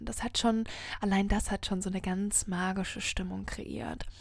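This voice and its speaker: A woman speaks in a monotone with flat intonation. Her voice is somewhat breathy. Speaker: podcast host and happiness coach. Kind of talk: solo inspirational monologue. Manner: slow, savouring.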